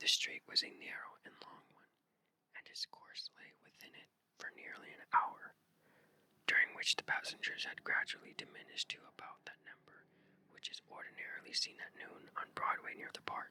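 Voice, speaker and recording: A woman whispers at a moderate pace. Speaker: ASMR channel host reading aloud. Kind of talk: whispered ASMR story reading for sleep. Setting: headphone-oriented binaural recording, left and right.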